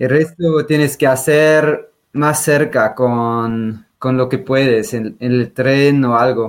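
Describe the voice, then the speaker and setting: Speaking with a Swiss German accent, a man keeps a very slow pace with hardly any pauses. His pitch is medium and varies in an ordinary way. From Switzerland, German-speaking. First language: Swiss German (speaking Spanish). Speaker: trail runner and glaciologist. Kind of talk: interview.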